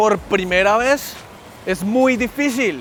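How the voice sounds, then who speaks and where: A man is speaking. Music plays in the background. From Colombia. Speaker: vlogger. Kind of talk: casual vlog talk. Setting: outdoors.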